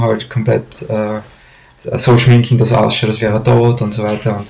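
Monotone, flat delivery from a man, with light background noise. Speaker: storyteller. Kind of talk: casual storytelling to camera. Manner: hesitant, many fillers. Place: home room. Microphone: webcam.

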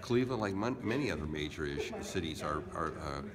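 A man speaks at a fairly quick pace. Noticeable background noise sits behind him. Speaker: city council member. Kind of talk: interview answer. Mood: serious, firm. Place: meeting room. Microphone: phone near.

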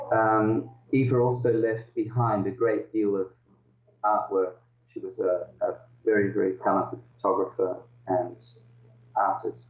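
Amid audible room echo, a man speaks at a fairly slow pace with long, frequent pauses and very even loudness. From Netherlands, raised in Australia. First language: Dutch. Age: 50s. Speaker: author; interviewee. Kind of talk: interview over video call. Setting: video call. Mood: reflective, somber at times. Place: home room. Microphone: video call.

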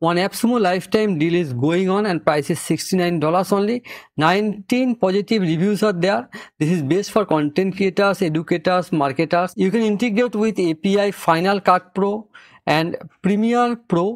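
Against a quiet background, a man speaks at a moderate pace with a high pitch. His loudness is very even and his pitch varies an ordinary amount. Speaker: software reviewer. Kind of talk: tutorial.

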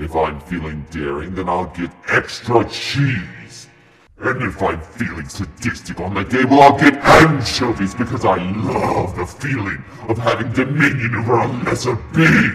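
In a put-on character voice, a man speaks at a moderate pace and a fairly low pitch, with clear echo around him. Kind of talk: comedic villain Q&A to camera. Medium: role play. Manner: theatrical, gloating.

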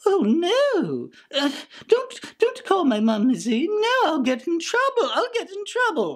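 A cartoonish character voice, extremely high-pitched and pompous, lurches through very wide pitch swings at a fairly slow pace. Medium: puppet. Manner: pompous, petulant.

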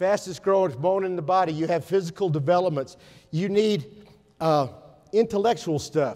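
A man's high-pitched voice at a moderate pace, ordinary pitch variation, against a quiet background. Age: 60s. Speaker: educator. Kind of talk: conference talk. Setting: stage with audience. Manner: animated. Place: hall.

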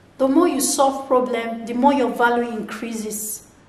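A woman with a high pitch speaks at a fairly slow pace with ordinary pitch variation, and room echo is audible. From Nigeria. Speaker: motivational video blogger; vlogger. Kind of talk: motivational monologue. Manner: animated, repetitive. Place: home room.

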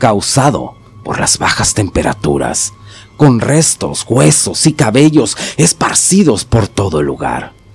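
Over music in the background, a man speaks in a dramatic tone at a fairly slow pace. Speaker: horror story narrator, channel host. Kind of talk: scripted horror story narration, first-person as a character. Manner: suspenseful, dramatic, measured storytelling pace.

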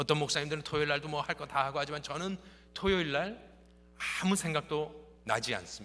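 A man's fairly high, bright, sharp voice at a fairly quick pace, with ordinary pitch variation. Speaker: pastor. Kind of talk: sermon.

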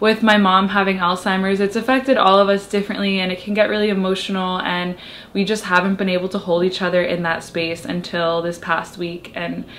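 There is light background noise as a woman talks at a fairly quick pace with hardly any pauses. Her intonation stays fairly even. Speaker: lifestyle vlogger. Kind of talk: casual vlog chat. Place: home room. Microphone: camera far.

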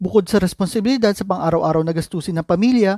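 Lively intonation comes at a very fast pace. The sound is dry and close with no echo, on a very clean recording with a silent background. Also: man. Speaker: personal finance YouTuber. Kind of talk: scripted narration.

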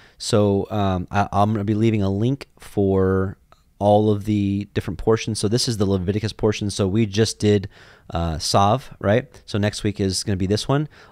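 On a very clean recording with a silent background, a man speaks at a moderate pace with a fairly low pitch and fairly even intonation. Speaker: Torah teacher. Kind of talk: religious teaching. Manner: conversational.

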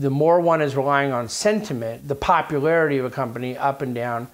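Speech moves along fairly quickly. The pitch rises and falls in an ordinary way. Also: man.

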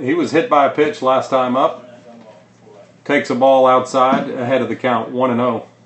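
A man with an animated tone and medium pitch speaks at a moderate pace, leaving long, frequent pauses, while background noise is noticeable. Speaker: baseball broadcaster. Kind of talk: live baseball play-by-play commentary. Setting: press box. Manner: brisk, animated pitch-by-pitch calling.

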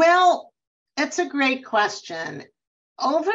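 Speaking at a very slow pace, a woman's voice swings very widely in pitch. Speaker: neurologist and sleep medicine professor. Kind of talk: expert interview webinar. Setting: video call. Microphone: video call.

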